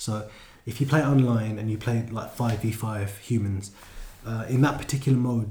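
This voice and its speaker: Heard with audible room echo, a man at medium pitch has a dark, mellow tone, sounds somewhat breathy and uses ordinary pitch variation. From London. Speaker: gaming podcast co-host. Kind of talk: casual chat.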